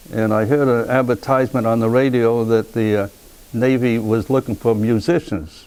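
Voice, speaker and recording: A man speaks with a Rhode Island accent and fairly even intonation. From US Northeast, Pawtucket, Rhode Island. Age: 90s. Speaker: war veteran. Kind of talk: oral history interview. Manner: halting, repeats words.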